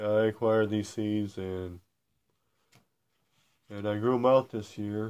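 A man with a fairly low pitch talks at a moderate pace in a flat monotone. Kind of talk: casual vlog chat. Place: home room. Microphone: phone near.

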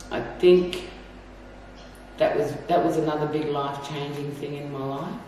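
Amid light background noise and strong room echo, a woman with a very deep, low pitch talks at a moderate pace. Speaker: interviewee. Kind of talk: interview answer. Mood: reflective, somber. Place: office.

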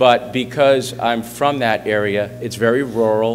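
A man speaks with music in the background. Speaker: guest, sports coach. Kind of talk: speech to a school assembly. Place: hall. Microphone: podium.

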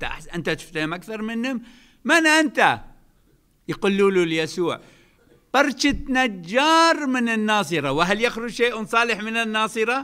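Against a quiet background, a man with high pitch uses a raised, projected voice, bright and sharp in tone, with very wide pitch swings at a fairly slow pace. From Iraq. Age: 70s. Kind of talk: religious talk. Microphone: podium.

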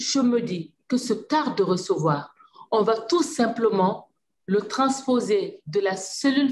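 Over light background noise, a woman with a somewhat breathy voice speaks at a moderate pace with lively intonation. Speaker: government minister. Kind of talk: panel discussion. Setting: video call. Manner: passionate. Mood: earnest, thoughtful. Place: office. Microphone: video call.

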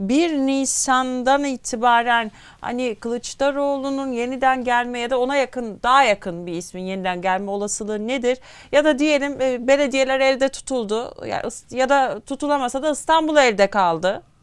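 Pitch moves with ordinary variation. The recording is very clean, with a silent background. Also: woman, high pitch for a woman, moderate pace. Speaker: TV news host. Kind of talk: TV interview.

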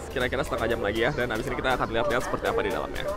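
Clear background music with a dry sound and no echo. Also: man. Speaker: travel vlogger. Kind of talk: casual vlog chat. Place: street. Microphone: phone near.

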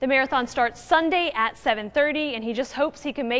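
High-pitched female speech, its pitch varying in an ordinary way. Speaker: TV news reporter. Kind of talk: TV news report narration. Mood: upbeat, friendly. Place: studio. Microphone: lapel.

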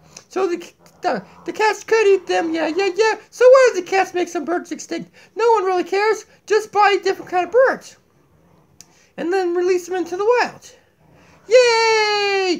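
A cartoonish character voice from a man, extremely high in pitch, at a moderate pace broken by long, frequent pauses. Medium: puppet. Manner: goofy, zany.

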